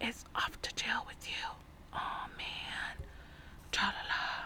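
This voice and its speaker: A woman whispers very slowly, with noticeable background noise around her. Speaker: storytime reader / ASMR channel host. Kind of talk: ASMR audiobook reading of a children's novel.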